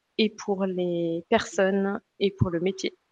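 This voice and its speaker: The voice moves at a very slow pace in a dry, close sound with no echo. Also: woman. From raised in US, Belgium and France. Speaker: career and school guidance coach. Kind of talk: interview conversation.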